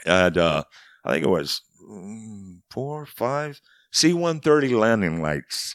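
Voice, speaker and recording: Over a very clean recording with a silent background and a dry, close sound with no echo, a man speaks with an American accent at a very slow pace. His fairly low voice swings very widely in pitch and shows big swings in loudness. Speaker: war veteran. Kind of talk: interview.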